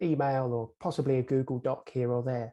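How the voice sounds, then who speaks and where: At a moderate pace and medium pitch, a man talks in a monotone, flat intonation. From England. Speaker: conference moderator. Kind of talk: panel introduction. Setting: video call.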